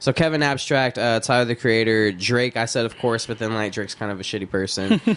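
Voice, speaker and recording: An unremarkable speaking voice with an American accent runs at a fairly quick pace with hardly any pauses and ordinary pitch variation. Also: man, medium pitch for a man. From Texas. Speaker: rapper. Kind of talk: casual chat. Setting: studio.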